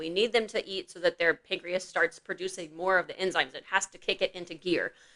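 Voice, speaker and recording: At a fairly quick pace, a woman talks with ordinary pitch variation, the sound dry and close with no echo. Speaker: veterinarian podcast co-host. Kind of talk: casual podcast chat. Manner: fast.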